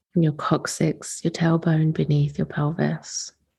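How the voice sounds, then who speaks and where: Somewhat breathy and soothing in tone, a woman speaks at a very deep, low pitch. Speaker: podcast host, womb-wellness / sacred feminine teacher. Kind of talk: guided womb meditation. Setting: recorded late, not in usual recording space, casual home setup. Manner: slow, soft, soothing, with long pauses.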